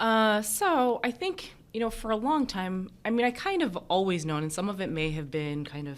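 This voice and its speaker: The speaker, a woman, keeps a moderate pace. She has an American accent. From United States. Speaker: emergency physician and professor. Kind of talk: interview conversation.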